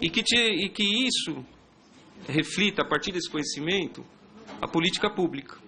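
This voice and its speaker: With long, frequent pauses, a man speaks at a high pitch, his loudness very even and his pitch variation ordinary. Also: moderate pace. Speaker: police intelligence officer. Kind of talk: public hearing presentation. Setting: public hearing with audience.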